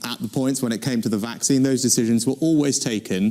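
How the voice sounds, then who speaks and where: The speaker's intonation is fairly even. Background noise is noticeable. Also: man. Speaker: prime minister. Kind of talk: politician answering audience question.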